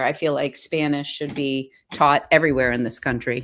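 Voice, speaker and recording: With an American accent and fairly even intonation, the voice comes through in a very clean recording with a silent background. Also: woman. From central Massachusetts, US. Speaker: watercolor artist. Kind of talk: casual chat.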